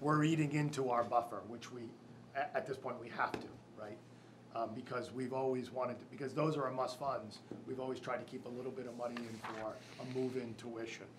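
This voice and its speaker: Room echo is audible, and noticeable background noise sits under the recording. A man talks at a fairly quick pace in a monotone, flat intonation. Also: medium pitch for a man. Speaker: school district official presenting budget. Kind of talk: public board meeting. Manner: halting; loud.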